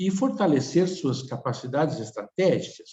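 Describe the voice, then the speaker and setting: With music playing in the background, a man talks at a very slow pace with lively intonation. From Tucumán, Argentina. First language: Spanish (speaking Portuguese). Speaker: speaker at a webinar. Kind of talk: webinar presentation. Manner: halting, with many fillers.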